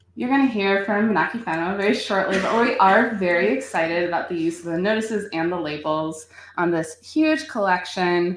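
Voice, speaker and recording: A fairly quick, lively delivery with hardly any pauses, an American accent and noticeable background noise. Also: woman, medium pitch for a woman. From United States. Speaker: nonprofit outreach director. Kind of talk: conference presentation. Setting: conference stage with audience. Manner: fast; hesitant, many fillers.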